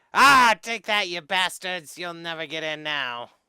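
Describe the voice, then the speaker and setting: A man puts on a high-pitched character voice on a very clean recording with a silent background. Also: moderate pace. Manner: gleeful, taunting.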